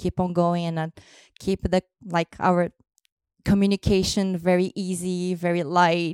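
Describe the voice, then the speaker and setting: Speaking at a moderate pace in a Brazilian accent, a woman keeps a monotone, flat intonation, heard on a very clean recording with a silent background and a dry, close sound with no echo. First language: Portuguese. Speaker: host's partner. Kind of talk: casual chat.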